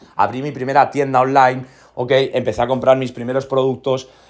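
A man with a normal speaking voice, medium pitch and a fairly quick pace. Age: 30s. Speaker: podcast host, entrepreneur, former soldier. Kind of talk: motivational monologue. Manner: repeats filler "¿no?" and "¿ok?".

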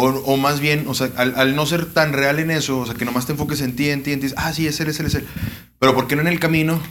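A man with a Mexican accent, fairly high pitch, fairly even intonation and a moderate pace, plus audible room echo. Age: 20s. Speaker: grilling YouTuber. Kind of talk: casual chat.

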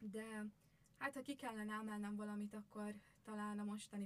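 A woman talks at a moderate pace in a somewhat breathy voice of medium pitch. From Győr, Hungary. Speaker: social pedagogy student. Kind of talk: podcast interview.

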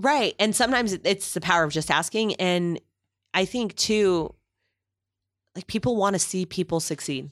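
Using lively intonation and a medium pitch, a woman speaks at a moderate pace with long, frequent pauses, in a very clean recording against a silent background with a dry, close sound and no echo. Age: 30s. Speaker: therapist and adjunct lecturer, radio host. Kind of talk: casual interview chat.

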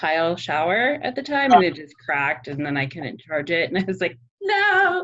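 This woman has a normal speaking voice, fairly low in pitch, at a moderate pace. Her intonation is lively. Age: 40s. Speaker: podcast host. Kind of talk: casual chat.

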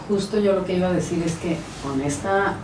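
A woman talks at a moderate pace with fairly even intonation. Audible room echo and noticeable background noise come through. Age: 50s. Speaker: natural therapist. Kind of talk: casual chat.

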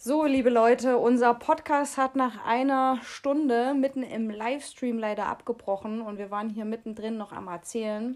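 In a very clean recording with a silent background, a woman with a high pitch speaks at a moderate pace with hardly any pauses, fairly even intonation and big swings in loudness. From Germany, Jena (Thuringia). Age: 20s. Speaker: podcast co-host. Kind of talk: casual chat.

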